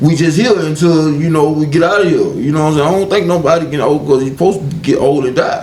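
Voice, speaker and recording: With audible room echo and noticeable background noise, a man races along at a very fast pace with hardly any pauses, in a fairly high pitch with ordinary variation. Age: 30s. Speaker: podcast co-host. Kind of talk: casual chat.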